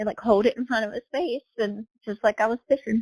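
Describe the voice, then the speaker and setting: An ordinary speaking voice from a woman with an American accent, fairly high pitch and ordinary pitch variation, in a dry, close sound with no echo. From Southern Ohio. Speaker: real estate agent and horse rider. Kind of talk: casual podcast interview.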